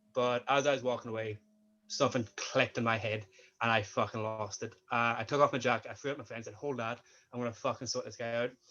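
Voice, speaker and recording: A man with a Northern Irish accent, very fast and monotone, with flat intonation. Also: medium pitch for a man. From Northern Ireland. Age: 20s. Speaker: sports coach and student. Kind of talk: interview.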